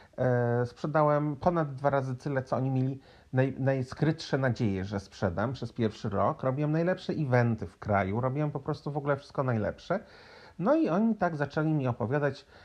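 Speaking with a Polish accent, a man talks at a fairly quick pace and a medium pitch. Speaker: podcaster. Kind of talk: casual storytelling monologue.

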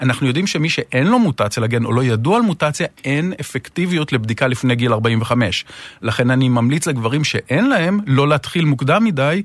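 A man's voice, an ordinary speaking voice, fairly high in pitch, with lively intonation, very even loudness, a moderate pace and hardly any pauses. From northern Israel. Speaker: urologist, hospital unit director. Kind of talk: interview.

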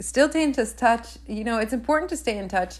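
Fairly quick and lively in intonation, a woman's voice moves along. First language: Spanish. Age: 20s. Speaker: podcast host. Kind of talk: casual monologue.

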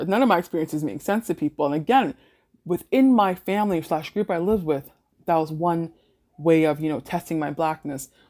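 A woman with a Toronto accent speaks at a fairly quick pace. Her pitch is fairly low. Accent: Canadian (Toronto area). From Canada, Mississauga, Ontario. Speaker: podcast host. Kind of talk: casual solo monologue.

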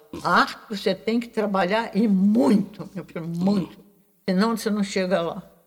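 Her voice is somewhat breathy and medium in pitch, and this woman keeps a moderate pace with fairly even intonation. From Rio de Janeiro, Brazil (Urca). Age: 90s. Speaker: visual artist. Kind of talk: interview.

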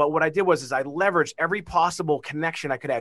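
A man with a Boston accent speaks in a bright, sharp tone. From Massachusetts, Beverly (Boston area). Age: 40s. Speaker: marketing company CEO. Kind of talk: interview. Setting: video call.

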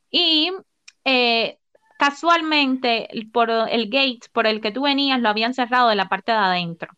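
A woman's high voice, fairly slow in pace, with lively intonation. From Cuba. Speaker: podcast co-host. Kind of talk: casual chat.

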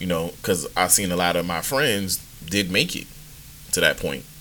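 This man has a very deep, low pitch and a bright, sharp tone. He speaks at a moderate pace with an American accent. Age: 40s. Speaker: podcast host and youth coach. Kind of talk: casual monologue. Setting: live stream. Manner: relaxed, many fillers.

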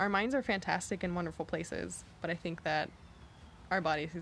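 This woman's voice has vocal fry in it. It sits at a fairly low pitch. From Texas, Galveston. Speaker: coworker of host. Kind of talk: casual chat.

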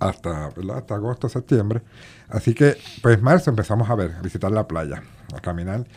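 A man with a Puerto Rican accent speaks with lively intonation and vocal fry. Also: fairly low pitch for a man. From Puerto Rico, Bayamón. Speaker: sea turtle conservation group director and math teacher. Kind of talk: radio interview. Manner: halting, many fillers and repetitions.

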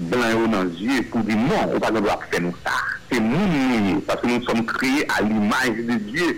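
Noticeable background noise and audible room echo around a man speaking at a fairly slow pace. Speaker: political party leader. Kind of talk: radio interview.

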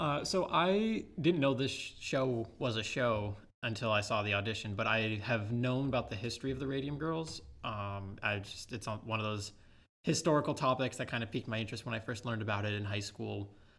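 With an ordinary speaking voice, a man talks at a medium pitch and a fairly quick pace, using ordinary pitch variation. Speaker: community theater actor. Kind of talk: casual interview.

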